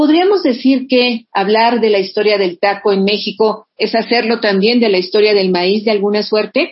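A woman in a normal speaking voice talks at a moderate pace with hardly any pauses, her fairly high pitch showing ordinary variation and her loudness very even. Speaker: radio host. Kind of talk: radio interview.

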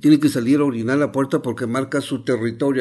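A man with an Oaxacan accent speaks at a medium pitch. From Huautla de Jiménez, Oaxaca, Mexico. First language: Mazatec (speaking Spanish). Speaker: traditional healer and nurse. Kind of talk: interview testimony.

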